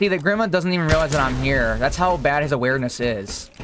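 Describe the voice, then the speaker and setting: Loud speech with noticeable background noise. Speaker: gaming youtuber. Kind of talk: gameplay tutorial commentary. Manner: casual.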